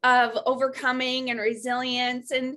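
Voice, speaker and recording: Raising and projecting her voice, a woman speaks at a moderate pace with a high pitch and a bright, sharp tone. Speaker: podcast host, fitness coach. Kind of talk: podcast interview host.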